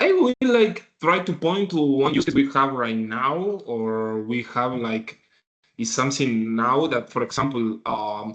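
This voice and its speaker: A man of medium pitch talks at a fairly slow pace. His intonation is lively. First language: not English. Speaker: tech executive. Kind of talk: casual business podcast discussion. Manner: halting.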